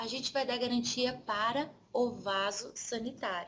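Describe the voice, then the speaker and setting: Speaking in a southern Brazilian accent, a woman uses a high pitch. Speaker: insurance trainer. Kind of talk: lecture. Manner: conversational.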